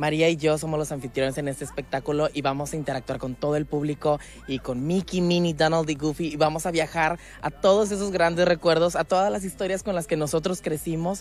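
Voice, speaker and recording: Fairly even intonation marks this man's fairly quick delivery. The sound is dry, with no echo. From Mexico, Mexico City. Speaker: figure skater and show host. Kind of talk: promotional interview. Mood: cheerful, enthusiastic. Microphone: handheld.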